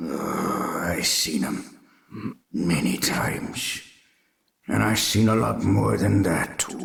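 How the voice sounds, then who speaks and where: A man puts on a raspy character voice, very deep and low in pitch, with very wide pitch swings. He goes at a very slow pace, leaving long, frequent pauses. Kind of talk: radio drama. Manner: solemn, warning.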